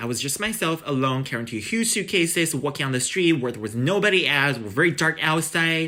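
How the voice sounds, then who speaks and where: A man talks at a fairly quick pace with hardly any pauses. His tone is bright and sharp, and his intonation is lively. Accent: Chinese. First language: Chinese. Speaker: international student. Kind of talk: interview. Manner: halting.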